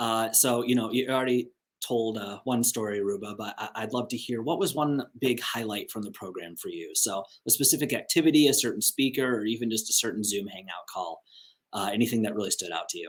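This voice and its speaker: Here is a normal speaking voice, a man with an American accent at medium pitch. He talks at a fairly quick pace with ordinary pitch variation. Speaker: interviewer, magazine editor. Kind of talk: video call interview.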